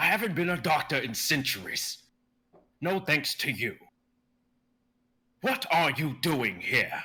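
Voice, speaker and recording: A man in a put-on character voice, fairly high in pitch, with very wide pitch swings, a fairly slow pace and long, frequent pauses. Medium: stage play. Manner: bitter, on edge.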